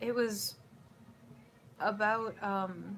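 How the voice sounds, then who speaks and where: A somewhat breathy woman's voice of medium pitch. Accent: American. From US Midwest, Chicago. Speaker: YouTuber. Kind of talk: casual Q&A vlog. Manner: casual, rambling with fillers.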